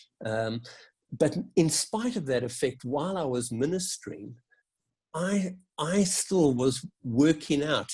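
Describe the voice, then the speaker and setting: A man's somewhat breathy voice, with lively intonation, at a fairly slow pace. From South Africa. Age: 60s. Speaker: Methodist minister. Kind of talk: interview answer. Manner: reflective, with hesitations.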